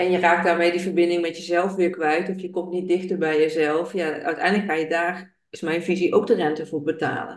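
Hardly any pauses break up this talk, delivered at a fairly quick pace. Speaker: podcast host. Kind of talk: interview.

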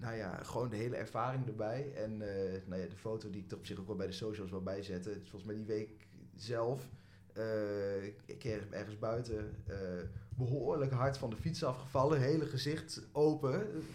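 The voice is somewhat breathy and carries audible room echo. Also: man, fairly low pitch for a man, ordinary pitch variation, moderate pace. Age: 20s. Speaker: student and football fan. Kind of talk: casual chat.

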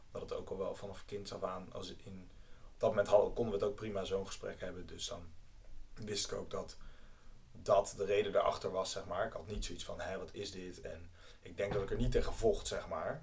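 A man speaks at a fairly quick pace with big swings in loudness. Audible room echo surrounds his voice. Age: 20s. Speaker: university student. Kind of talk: casual chat.

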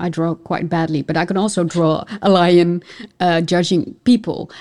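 A woman's fairly low-pitched voice, dark and mellow in tone, with a Dutch accent and a fairly slow pace. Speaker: podcast host. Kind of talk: interview.

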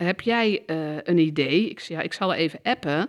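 Moderate pace and ordinary pitch variation, with a dry, close sound with no echo on a very clean recording with a silent background. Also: woman. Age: 50s. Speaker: counsellor and systemic therapist. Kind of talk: interview conversation. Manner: hesitant, many filler sounds.

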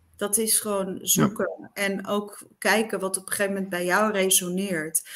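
A plain, everyday voice from a woman, medium in pitch, with fairly even intonation and a moderate pace. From eastern Netherlands. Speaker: radio presenter. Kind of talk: interview.

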